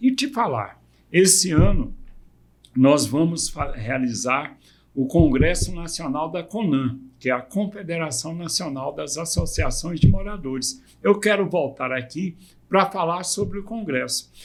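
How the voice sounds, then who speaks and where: Speaking at a fairly slow pace, a man uses lively intonation and a high pitch. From Brazil, Goiânia (Goiás). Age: 60s. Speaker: community movement leader. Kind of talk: podcast interview.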